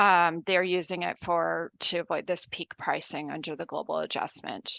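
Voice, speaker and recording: In a Canadian accent, a woman with fairly low pitch and vocal fry speaks at a moderate pace in a monotone, flat intonation, with a dry, close sound with no echo and a quiet background. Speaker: energy industry consultant. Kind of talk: council delegation presentation. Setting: council meeting.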